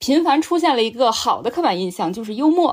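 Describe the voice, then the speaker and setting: In this clip a woman talks with very wide pitch swings. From Qingdao, Shandong. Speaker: podcast host. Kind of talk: casual chat.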